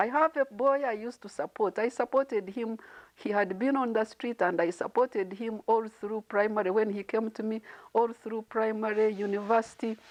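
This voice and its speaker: In a normal speaking voice, a woman with a fairly high pitch talks at a moderate pace with fairly even intonation, the sound dry and close with no echo. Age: 50s. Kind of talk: motivational talk.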